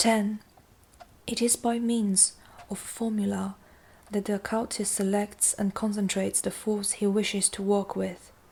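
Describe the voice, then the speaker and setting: A woman talks at a moderate pace in a somewhat breathy, medium-pitched voice with monotone, flat intonation. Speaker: amateur audiobook narrator. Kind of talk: audiobook reading of nonfiction.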